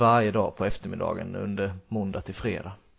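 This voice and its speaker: Here a man speaks with a Swedish accent at a fairly quick pace. His fairly low voice is monotone and flat. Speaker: podcast host, football coach. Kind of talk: casual chat.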